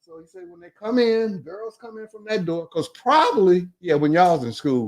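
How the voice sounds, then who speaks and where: This man talks at a moderate pace with an American accent and a high pitch. His intonation is lively, and his loudness swings widely. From Detroit, Michigan. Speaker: retired basketball coach. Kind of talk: casual storytelling interview.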